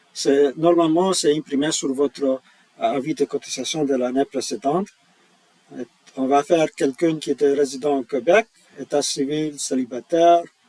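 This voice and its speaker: The man has a fairly high pitch and speaks at a fairly slow pace. The sound is dry and close, with no echo. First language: not French (speaking French). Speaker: tax software employee. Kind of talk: tutorial. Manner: halting, many hesitations.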